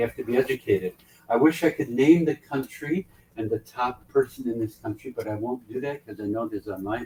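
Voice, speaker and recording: A somewhat breathy man talks at a fairly quick pace with ordinary pitch variation. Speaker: ship director and leadership speaker. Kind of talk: motivational talk. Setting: on board a ship, event venue. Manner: animated.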